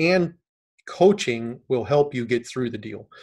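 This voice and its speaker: A man talks with lively intonation and a moderate pace. He has a plain, everyday voice. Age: 50s. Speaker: real estate investor, military retiree. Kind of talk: interview.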